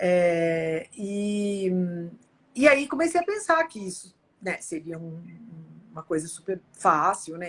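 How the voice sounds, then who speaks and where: A woman speaks at a very slow pace in a medium pitch, her loudness swinging widely, with lively intonation and long, frequent pauses. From Brazil. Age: 60s. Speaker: futurist speaker. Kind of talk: interview.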